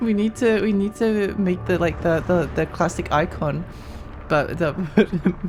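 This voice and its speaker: A woman talks rather slowly, with music in the background. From Australia. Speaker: video game streamer. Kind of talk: live gameplay stream chat. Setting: live stream. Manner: casual, repetitive.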